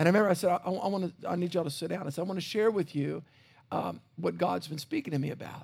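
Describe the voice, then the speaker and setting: A man with a Louisiana accent talks at a very fast pace in a high, animated voice with ordinary pitch variation. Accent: US South (Louisiana). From South Louisiana. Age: 50s. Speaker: pastor. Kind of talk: sermon. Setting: church.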